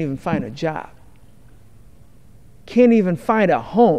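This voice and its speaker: Lively in intonation, a man with a high pitch speaks at a fairly slow pace. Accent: American. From Detroit, Michigan, USA. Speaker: congressman representing Detroit. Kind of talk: congressional floor speech.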